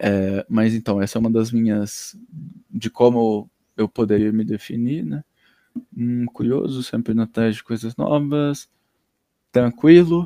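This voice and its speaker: With long, frequent pauses and a fairly slow pace, a man's medium-pitched voice has a dark, mellow tone and ordinary pitch variation, recorded dry and close with no echo. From Paraná, Brazil (Londrina). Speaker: podcast guest, friend of host. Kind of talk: casual interview chat.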